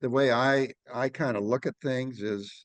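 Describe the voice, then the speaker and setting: A man talks at a very slow pace with ordinary pitch variation. The sound is dry and close with no echo, and the background is quiet. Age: 70s. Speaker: agronomy expert. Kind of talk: casual chat.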